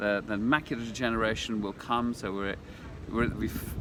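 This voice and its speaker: The man's voice is fairly low, with fairly even intonation and a fairly quick pace. Background noise is noticeable. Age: 50s. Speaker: health science entrepreneur. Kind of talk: interview.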